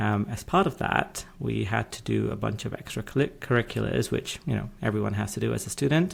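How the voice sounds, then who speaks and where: Here a man speaks in a British accent. His pace is moderate. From UK. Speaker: legal tech executive and podcaster. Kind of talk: podcast interview.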